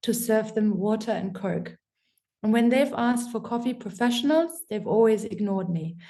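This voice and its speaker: A woman's somewhat breathy, dark, mellow voice, fairly high in pitch, with a German accent and a moderate pace. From Germany. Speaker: coffee professional. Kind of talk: casual chat.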